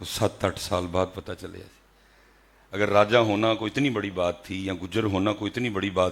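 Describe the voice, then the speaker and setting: Recorded very cleanly against a silent background, a man talks in a fairly low register with ordinary pitch variation. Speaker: Islamic preacher. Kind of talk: religious sermon. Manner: emotional.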